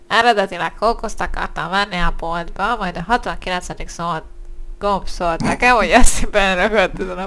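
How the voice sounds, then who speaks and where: A nasal, put-on character voice. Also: female-sounding voice, medium pitch for a woman. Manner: joking, playful.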